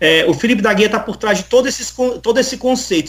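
A man is speaking. His pace is fairly quick. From Northeast Brazil (Paraíba), raised there from childhood. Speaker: musician and theologian. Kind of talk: casual interview. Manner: halting, many fillers.

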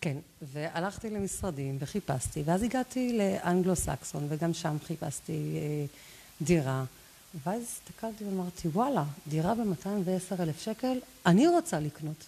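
A woman speaks at a fairly slow pace with lively intonation. Her voice is fairly low, somewhat breathy, and dark and mellow in tone. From Israel, Lod. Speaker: real estate agent. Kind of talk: interview. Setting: live stream.

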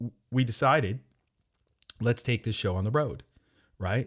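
A somewhat breathy voice with an American accent and ordinary pitch variation, on a very clean recording with a silent background. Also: man. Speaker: podcast host and startup investor. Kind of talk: casual chat.

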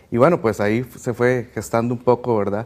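A man speaking at a fairly quick pace with fairly even intonation, on a very clean recording against a silent background. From Cartago. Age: 20s. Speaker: lay catechist. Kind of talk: personal testimony. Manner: hesitant, many fillers.

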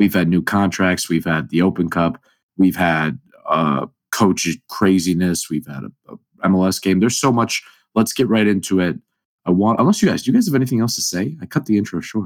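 Talking at a fairly quick pace, a man uses a very deep, low pitch and lively intonation. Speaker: podcast host. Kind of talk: casual chat.

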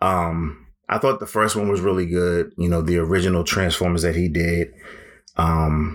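A man's relaxed, very deep, low voice at a fairly slow pace, with fairly even intonation and very even loudness. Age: 40s. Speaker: podcast host. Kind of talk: casual solo monologue. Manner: relaxed, filler-heavy.

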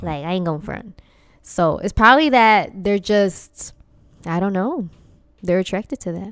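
At a moderate pace, the speaker uses lively intonation and long, frequent pauses, in a very clean recording with a silent background. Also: woman, medium pitch for a woman. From Dominican-Puerto Rican family, US. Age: 20s. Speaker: podcast co-host. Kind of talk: casual chat. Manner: loud.

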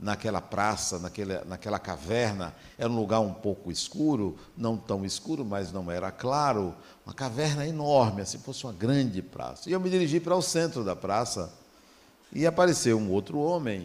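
Speaking at a moderate pace, a man with a medium-pitched voice makes very wide pitch swings. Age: 60s. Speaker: spiritist lecturer. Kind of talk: lecture.

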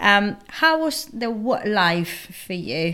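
A woman speaks with a Spanish accent over noticeable background noise. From Spain. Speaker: podcast co-host. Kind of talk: interview.

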